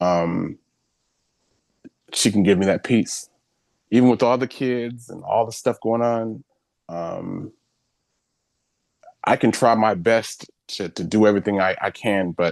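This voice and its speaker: A man, fairly low in pitch, with ordinary pitch variation, a fairly slow pace and long, frequent pauses, the sound dry and close with no echo against a quiet background. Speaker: community founder and consultant. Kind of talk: panel introduction on virtual event. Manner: hesitant, many fillers.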